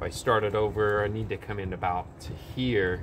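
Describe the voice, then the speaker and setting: A man's voice sits fairly low in pitch, with noticeable noise in the background. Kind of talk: tutorial. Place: garden.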